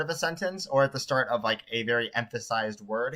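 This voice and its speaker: A man at a very fast pace. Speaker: streamer making video tutorials. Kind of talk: live-streamed editing tutorial.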